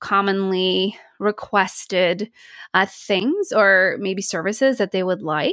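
With an American accent, a woman speaks at a very slow pace and medium pitch with fairly even intonation, in a very clean, dry, close recording with no echo and a silent background. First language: Polish. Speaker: speech pathologist and accent coach. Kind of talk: casual interview.

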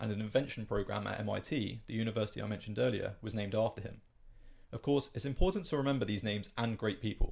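The speaker talks very fast with vocal fry and ordinary pitch variation. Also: man. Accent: British. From UK. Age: 20s. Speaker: science podcast host. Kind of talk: scripted narration.

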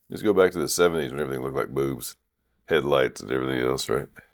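Speaking at a very fast pace, a man uses vocal fry and a very deep, low pitch. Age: 50s. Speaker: podcast host. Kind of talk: casual chat. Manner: animated.

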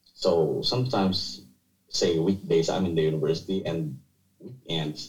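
With a Filipino accent, a man speaks at a moderate pace in a very deep, low pitch marked by vocal fry. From Philippines (Bicol region). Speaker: architect and university teacher. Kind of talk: casual interview chat. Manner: halting, with fillers and repetitions.

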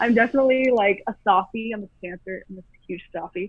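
This woman has a plain, everyday voice with an American accent and ordinary pitch variation. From Michigan, suburb of Detroit. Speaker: actor. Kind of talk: interview.

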